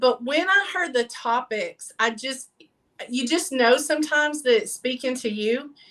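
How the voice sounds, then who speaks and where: A woman with a strong Southern Texas accent speaks at a moderate pace in a high, raised, projected voice. Her tone is bright and sharp, with ordinary pitch variation. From Texas, near Fort Worth. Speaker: mobile paint party business owner. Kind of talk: interview. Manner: casual, with many fillers.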